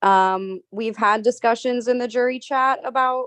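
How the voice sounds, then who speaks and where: A woman's high voice with ordinary pitch variation, in a dry, close sound with no echo. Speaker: jury member in online game finale. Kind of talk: questioning finalists at jury.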